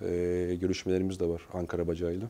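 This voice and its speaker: With a very deep, low pitch, a man delivers his lines in a dark, mellow tone and monotone, flat intonation. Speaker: human resources director; guest. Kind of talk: interview. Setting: studio. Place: studio. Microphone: lapel.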